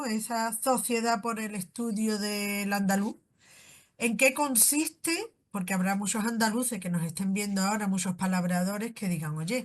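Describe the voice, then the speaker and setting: A woman with a somewhat breathy voice speaks at a moderate pace, her medium pitch showing ordinary variation. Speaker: podcast host. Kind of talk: interview question.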